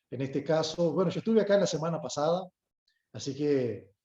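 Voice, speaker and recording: A man with a northern Uruguayan accent speaks in a dark, mellow tone with ordinary pitch variation. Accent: Uruguayan with Brazilian border tone. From Brazil, Uruguayan parents. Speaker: lawyer and guest lecturer. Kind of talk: lecture. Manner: formal, polite.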